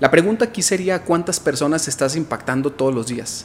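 Fairly quick and fairly high-pitched, a man talks with ordinary pitch variation in an ordinary speaking voice. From Mexico, Guadalajara, Jalisco. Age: 30s. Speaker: entrepreneur and motivational speaker. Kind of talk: interview. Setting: studio.

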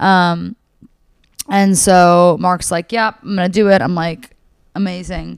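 Speaking fairly slowly with long, frequent pauses, a woman keeps a medium pitch and fairly even intonation. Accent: American. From New York City, Manhattan. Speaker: comedian and comedy show producer. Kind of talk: casual chat. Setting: host's apartment.

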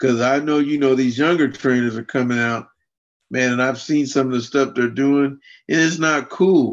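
Against a quiet background, an ordinary speaking voice talks at a moderate pace with fairly even intonation. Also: man, medium pitch for a man. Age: 50s. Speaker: adaptive fitness and martial arts coach. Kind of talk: interview.

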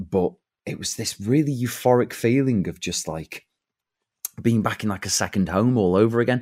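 In a normal speaking voice, a man talks at a moderate pace with medium pitch and ordinary pitch variation on a very clean recording with a silent background. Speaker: actor and impressionist. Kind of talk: casual chat.

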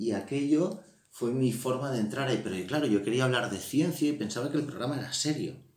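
A man's medium-pitched voice with ordinary pitch variation at a fairly quick pace, with audible room echo and noticeable background noise. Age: 30s. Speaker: podcast host. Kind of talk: casual chat. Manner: animated.

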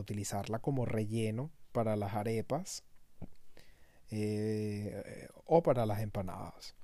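In a very clean recording with a silent background, a man with a Venezuelan accent speaks at a very slow pace in a dark, mellow tone and a fairly low pitch. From Venezuela, Caracas. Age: 30s. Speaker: podcaster. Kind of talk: casual monologue. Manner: halting, many fillers and repetitions.

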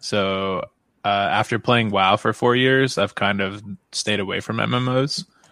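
Speaking at a fairly slow pace, a man with a normal speaking voice talks in a fairly low pitch and fairly even intonation. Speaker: YouTube gaming channel creator and game programmer. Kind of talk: casual chat. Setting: live stream podcast.

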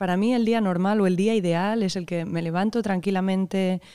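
A woman with a dark, mellow tone at medium pitch, fairly quick and fairly even in intonation, in a very clean recording with a silent background. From Spain, Barcelona (Catalonia). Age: 30s. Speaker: composer. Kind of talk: interview. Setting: hall, in person. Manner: halting, with repeated words.

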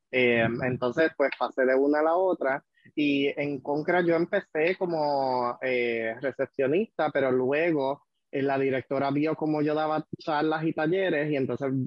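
This is an unremarkable speaking voice, delivered at a fairly slow pace with fairly even intonation. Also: man. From Puerto Rico, Vega Alta. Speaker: HIV prevention worker. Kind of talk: casual chat.

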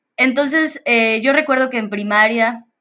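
The speaker has an ordinary speaking voice. Speech comes at a fairly slow pace with ordinary pitch variation. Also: woman. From Mexico, Campeche. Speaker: solar energy professional. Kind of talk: interview.

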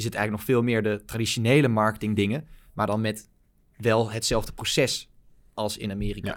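A man speaks at a fairly quick clip with a medium pitch and an unremarkable speaking voice. The recording is very clean, with a silent background. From Netherlands, Baarn (province of Utrecht). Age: 20s. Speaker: growth marketing agency founder. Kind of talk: interview.

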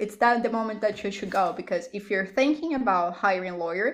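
Talking at a very fast pace in a Portuguese accent, the speaker shows ordinary pitch variation. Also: woman. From Brazil. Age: 20s. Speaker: lawyer and business owner. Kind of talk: casual interview. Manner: talkative.

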